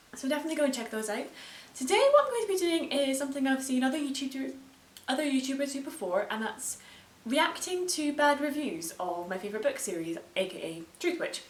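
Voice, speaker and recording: Through audible room echo, a woman talks at a very fast pace in a high pitch with very wide pitch swings. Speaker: booktuber. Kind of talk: casual reaction video. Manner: animated.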